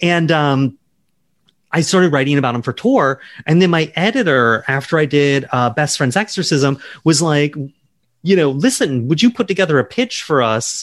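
A man with an American accent and a normal speaking voice, fairly high in pitch, with lively intonation at a moderate pace. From US South, Charleston, South Carolina. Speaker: novelist. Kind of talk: interview.

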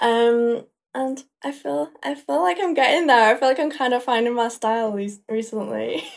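A woman with a Yorkshire accent speaks with ordinary pitch variation. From northern England (Leeds, Yorkshire). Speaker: makeup artist and social media creator. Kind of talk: casual chat.

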